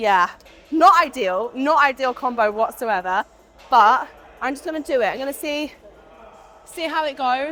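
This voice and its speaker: A woman's raised, projected, high-pitched voice with lively intonation, a moderate pace, long and frequent pauses, and music in the background. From UK. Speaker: fitness vlogger. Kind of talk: casual talk to camera.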